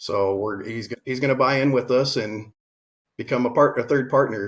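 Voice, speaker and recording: This man speaks at a moderate pace with a medium pitch. His voice is somewhat breathy, and his intonation is fairly even. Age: 40s. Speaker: real estate investor. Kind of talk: interview.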